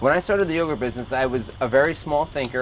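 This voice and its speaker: A man speaks with a New Jersey accent. Noticeable background noise can be heard. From New Jersey, Toms River. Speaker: realtor and entrepreneur. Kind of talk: casual chat. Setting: outdoors by a fire pit with small audience.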